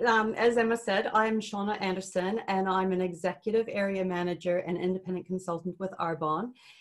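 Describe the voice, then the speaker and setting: A woman speaks at a medium pitch with fairly even intonation. Noticeable background noise sits behind her. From Canada. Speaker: network marketing consultant. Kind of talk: webinar presentation.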